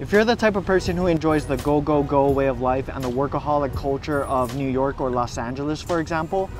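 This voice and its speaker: A man talks fairly quickly. Behind him, music can be heard. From Hawaii. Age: 30s. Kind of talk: casual vlog narration.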